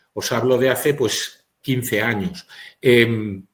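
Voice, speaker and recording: A man's somewhat breathy voice at a very slow pace. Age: 60s. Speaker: physician. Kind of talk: webinar lecture.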